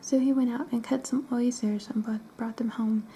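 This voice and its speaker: Soft-spoken delivery comes at a moderate pace. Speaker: ASMR storyteller. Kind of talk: reading aloud.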